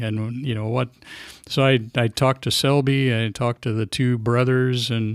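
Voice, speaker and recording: A man with a Midwestern American accent speaks at a medium pitch and a moderate pace. His intonation is monotone and flat, and the recording is very clean, with a silent background. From Atlanta, Illinois. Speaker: sports writer and newspaper editor. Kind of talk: interview answer. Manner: soft-spoken.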